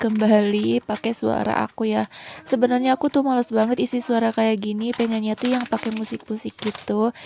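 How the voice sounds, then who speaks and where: Over noticeable background noise, a woman talks at a fairly quick pace with hardly any pauses. Her fairly high voice keeps a fairly even intonation. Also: dry, close sound with no echo. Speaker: home cooking vlogger. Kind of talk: cooking voice-over narration. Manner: casual, chatty.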